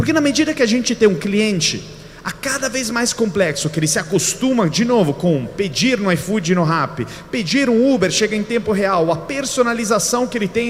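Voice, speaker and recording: With an Italian accent, a man at a high pitch talks at a fairly quick pace with lively intonation amid noticeable background noise. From Italy. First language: Italian (speaking Portuguese). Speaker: keynote speaker. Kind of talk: lecture.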